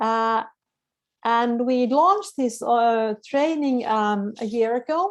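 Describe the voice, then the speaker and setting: At a very slow pace, a woman talks in a fairly high pitch with lively intonation. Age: 60s. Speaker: women's fitness entrepreneur. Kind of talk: webinar presentation. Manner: halting, many fillers and repeats.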